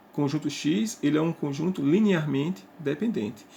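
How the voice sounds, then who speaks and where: With a dark, mellow tone and vocal fry, a man talks at a fairly high pitch with ordinary pitch variation. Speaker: math teacher. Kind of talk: lecture.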